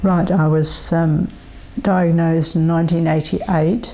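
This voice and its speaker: Background noise clearly present beneath a fairly even intonation. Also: woman. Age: 70s. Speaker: person living with multiple sclerosis. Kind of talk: interview testimony. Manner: hesitant, many fillers.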